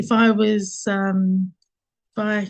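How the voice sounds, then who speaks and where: A woman speaks with a strong Essex accent. Her voice is somewhat breathy. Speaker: marketing agency founder, workshop host. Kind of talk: online workshop interview.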